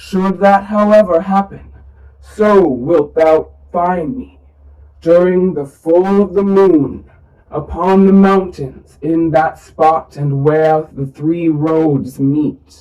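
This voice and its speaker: A put-on character voice at middle pitch and a very slow pace. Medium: read story. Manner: solemn, unhurried.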